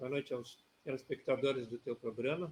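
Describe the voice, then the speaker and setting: A man with a southern Brazilian accent speaks at a moderate pace in a medium-pitched voice. His delivery is somewhat breathy with fairly even intonation. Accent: gaúcho Brazilian Portuguese. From southern Brazil, Rio Grande (RS). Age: 60s. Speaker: retired judge, political candidate. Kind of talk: interview.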